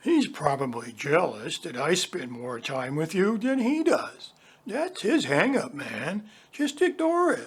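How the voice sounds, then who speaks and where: A put-on character voice at a middle pitch moves at a fairly slow pace with very wide pitch swings. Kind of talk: 1960s hippie slang. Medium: audio drama. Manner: laid-back, slangy.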